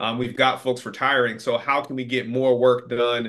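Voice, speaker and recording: At a fairly slow pace, a man speaks in a normal speaking voice at a medium pitch. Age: 40s. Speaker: field service executive. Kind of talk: casual interview.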